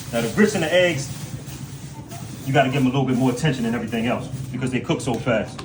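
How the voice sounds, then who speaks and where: A man talks at a very fast pace yet with long, frequent pauses, in a room with audible echo and music in the background. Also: medium pitch for a man, ordinary pitch variation. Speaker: prison cook on video. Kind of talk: cooking tutorial. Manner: stuttering, repetitive.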